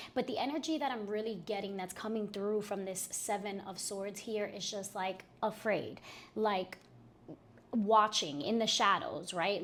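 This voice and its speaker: Speaking at a fairly slow pace, a woman uses a plain, everyday voice at a medium pitch. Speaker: tarot reader. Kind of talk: tarot reading monologue. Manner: casual with many fillers.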